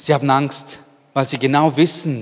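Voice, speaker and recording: Here a man speaks with a medium pitch. His pace is fairly slow. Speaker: preacher. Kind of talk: sermon. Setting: church. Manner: animated, warm, earnest; direct, addressing listener as du.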